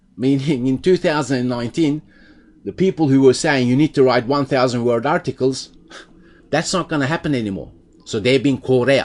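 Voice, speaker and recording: This man talks at a fairly quick pace in a normal speaking voice. His pitch sits in the medium range and varies an ordinary amount. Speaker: SEO tutorial presenter. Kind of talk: tutorial.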